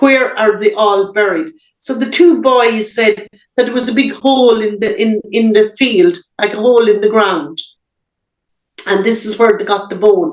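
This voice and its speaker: A woman with an Irish accent speaks at a moderate pace, with a fairly high pitch and ordinary pitch variation. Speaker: abuse survivor. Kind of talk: interview answer.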